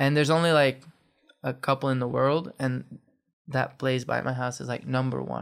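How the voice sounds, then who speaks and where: A man's medium-pitched voice stays monotone and flat as he talks at a moderate pace. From Belgium, Poperinge (Flanders). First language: Flemish. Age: 20s. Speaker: professional skateboarder. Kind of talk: casual interview.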